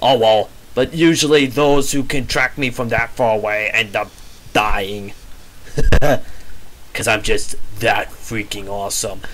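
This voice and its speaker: A man talks at a medium pitch and a fairly slow pace. Noticeable background noise runs under his voice. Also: ordinary pitch variation. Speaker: gaming commentator. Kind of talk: casual gameplay commentary.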